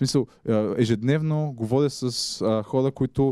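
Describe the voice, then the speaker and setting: A man speaks at a moderate pace and medium pitch with ordinary pitch variation and a dark, mellow tone. The background is quiet and the sound is dry with no echo. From Bulgaria, Ruse; Bulgaria. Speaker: journalist; guest. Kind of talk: public talk. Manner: halting. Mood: relaxed, humorous. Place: hall. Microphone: handheld.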